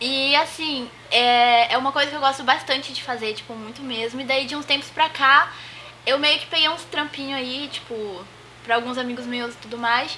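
Amid noticeable background noise, a woman speaks in a raised, projected, high-pitched voice at a moderate pace, her intonation fairly even but her loudness swinging widely. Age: 20s. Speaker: host's sister, unemployed. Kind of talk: casual chat.

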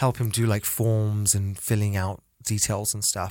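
Man at a medium pitch and moderate pace, on a very clean recording with a silent background. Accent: British. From Britain, half Chinese. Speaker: podcast co-host. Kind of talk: casual chat.

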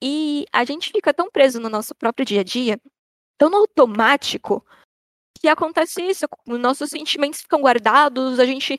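At a moderate pace, a woman speaks with a high pitch and lively intonation in dry, close sound with no echo. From Brazil, São Paulo city (north zone). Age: 20s. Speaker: artist (painter, comics, theatre). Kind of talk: casual chat.

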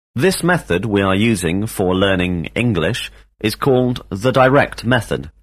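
A man with an ordinary speaking voice talks at a fairly slow pace in a fairly low pitch, his intonation lively and his loudness very even, on a very clean recording with a silent background. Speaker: English teacher. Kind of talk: language lesson drill. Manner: formal.

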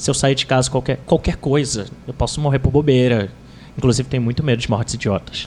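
This man talks at a very fast pace with fairly even intonation. His pitch sits at a medium level. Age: 20s. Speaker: writer on relationships. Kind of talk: casual chat.

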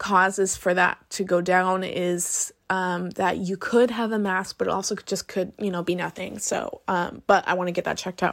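Heard in a very clean recording over a silent background, a woman speaks at a medium pitch in a monotone, flat intonation. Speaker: podcast host. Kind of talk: personal monologue. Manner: hesitant, many fillers.

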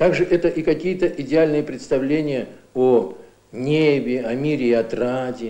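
The man's voice has a dark, mellow tone. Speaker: literature professor. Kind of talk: academic commentary in an interview. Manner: thoughtful, explanatory, somewhat halting, unscripted.

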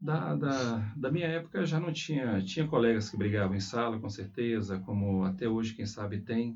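A man speaks at a moderate pace in a medium-pitched, somewhat breathy voice, with lively intonation and hardly any pauses. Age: 40s. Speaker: school principal. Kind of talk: interview. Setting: school.

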